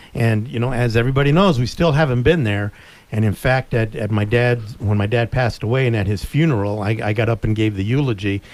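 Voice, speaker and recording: A man with an American accent has a plain, everyday voice. He talks at a fairly quick pace, with medium pitch and ordinary pitch variation. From US Southwest, Tucson, Arizona. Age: 60s. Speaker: sports radio co-host. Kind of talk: casual chat.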